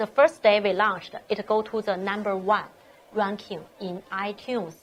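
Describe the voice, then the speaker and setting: A woman speaks with a Chinese accent. Her intonation stays fairly even. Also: medium pitch for a woman, moderate pace. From China. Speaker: startup founder. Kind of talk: interview. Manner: halting.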